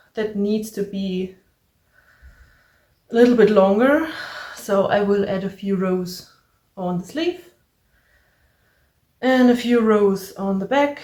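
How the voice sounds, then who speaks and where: A woman with a German accent speaks at a fairly slow pace in a medium pitch, with ordinary pitch variation. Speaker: crafting podcaster. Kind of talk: casual crafting vlog.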